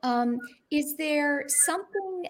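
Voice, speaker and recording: Very wide pitch swings mark a woman's very slow speech on a very clean recording with a silent background. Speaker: talk show host. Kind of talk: interview. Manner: warm, chatty with frequent fillers.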